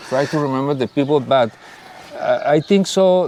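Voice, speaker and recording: A man speaks at a moderate pace with a Spanish accent and ordinary pitch variation. Noticeable background noise can be heard. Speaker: leader of a search collective for missing people. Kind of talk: interview. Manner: halting.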